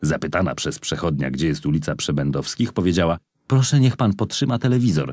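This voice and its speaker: Very fast and full of very wide pitch swings, a man's very deep, low voice carries vocal fry. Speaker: audiobook narrator. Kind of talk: audiobook reading aloud of a memoir, first-person narrative.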